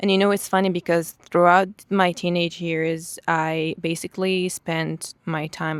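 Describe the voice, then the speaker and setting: In an Israeli accent, a woman talks in a fairly low pitch. Her delivery is fairly slow, with a monotone, flat intonation. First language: Hebrew. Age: 20s. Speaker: vlogger. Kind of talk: personal testimony. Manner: halting.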